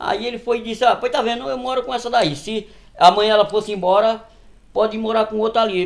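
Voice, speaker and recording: A high-pitched man talking at a very fast pace. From Northeast Brazil. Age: 60s. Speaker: farmer. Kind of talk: interview storytelling.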